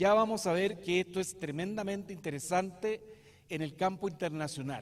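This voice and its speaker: A man speaks at a moderate pace in a high voice with ordinary pitch variation and a southern Chilean accent. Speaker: lawyer and professor. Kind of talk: lecture. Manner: hesitant, many fillers.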